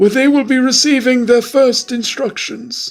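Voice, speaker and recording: A put-on character voice is pitched fairly high. It moves at a moderate pace. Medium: read story. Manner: clear and formal.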